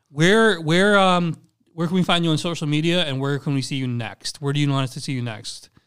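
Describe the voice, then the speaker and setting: In an American accent, a man with an ordinary speaking voice talks at a fairly quick pace, his fairly high pitch showing ordinary pitch variation. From Charlotte, North Carolina. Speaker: comedian and podcast host. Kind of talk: casual comedic banter.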